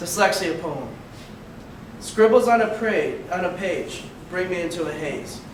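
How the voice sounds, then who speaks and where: Over noticeable background noise, a man with an American accent talks at a fairly slow pace with ordinary pitch variation. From Elgin, Illinois. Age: 20s. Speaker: college student and youth basketball coach. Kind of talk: poetry reading. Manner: upbeat.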